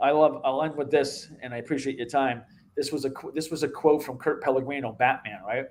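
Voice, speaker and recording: In a Boston accent, the speech moves at a fairly quick pace. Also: man, fairly high pitch for a man. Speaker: MMA show host and martial arts instructor. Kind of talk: casual interview chat. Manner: animated.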